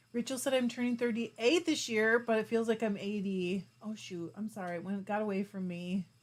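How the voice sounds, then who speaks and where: A woman speaks in a plain, everyday voice, medium in pitch with ordinary pitch variation. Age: 40s. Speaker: fiber arts YouTuber. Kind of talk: livestream chat reading comments. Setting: live stream. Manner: casual, chatty.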